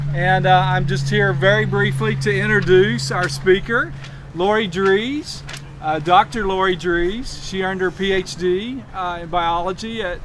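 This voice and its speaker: A loud, high-pitched man speaks at a moderate pace, with audible room echo and noticeable background noise. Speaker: environmental group director. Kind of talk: speaker introduction.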